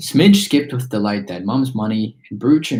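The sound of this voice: The clip carries an unforced reading voice. Nothing else stands out.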